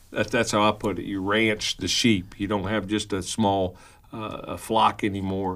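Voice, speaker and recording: In a Kentucky accent, a man with a fairly low pitch speaks at a moderate pace in a monotone, flat intonation on a very clean recording with a silent background. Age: 50s. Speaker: pastor and radio host. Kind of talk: casual radio talk show chat. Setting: radio studio.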